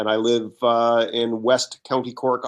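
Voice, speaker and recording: Against a quiet background, a normal speaking voice carries fairly even intonation. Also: man. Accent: American. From northeastern US, Connecticut. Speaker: business coach and author. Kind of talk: podcast interview.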